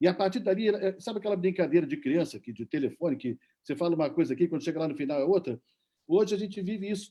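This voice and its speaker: Very fast and lively in intonation, a man talks at a high pitch with a dark, mellow tone. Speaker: journalist. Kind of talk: panel debate.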